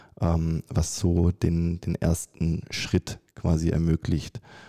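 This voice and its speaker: A man speaks with a very deep, low pitch and a dark, mellow tone. The sound is dry and close, with no echo and a silent background on a very clean recording. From Germany. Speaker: architecture graduate and startup founder. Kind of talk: interview.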